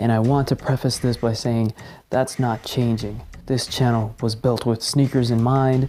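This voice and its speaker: A man's medium-pitched, dark, mellow voice, fairly slow and monotone, on a very clean recording with a silent background. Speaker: YouTuber, sneaker channel host. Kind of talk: unboxing video. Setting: at home while others sleep. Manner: quiet.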